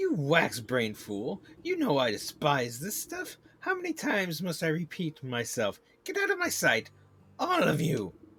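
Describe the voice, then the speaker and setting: Here a man puts on a character voice. His pitch sits fairly high. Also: moderate pace. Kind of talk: game stream reading dialogue aloud. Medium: game voice-over. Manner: haughty, angry.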